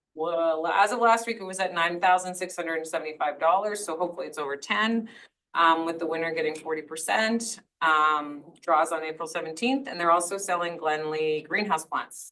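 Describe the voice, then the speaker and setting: A woman's fairly low voice at a moderate pace, with ordinary pitch variation. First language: French. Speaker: school board trustee. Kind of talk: board meeting report. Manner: hesitant, many fillers.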